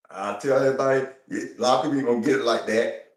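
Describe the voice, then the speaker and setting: A man talks at a fairly quick pace with audible room echo around him. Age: 60s. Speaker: hula hoop enthusiast. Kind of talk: interview. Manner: casual, conversational.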